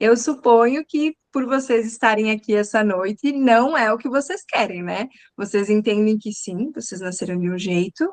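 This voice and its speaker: A woman with a southern Brazilian accent, lively intonation and a moderate pace. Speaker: communication coach. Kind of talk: live online talk.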